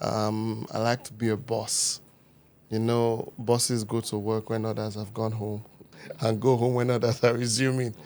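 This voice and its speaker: A man with a Niger Delta accent at medium pitch, with monotone, flat intonation and a moderate pace. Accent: Warri Nigerian. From Nigeria, Warri, Delta State. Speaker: producer and event host. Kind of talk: podcast interview. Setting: studio.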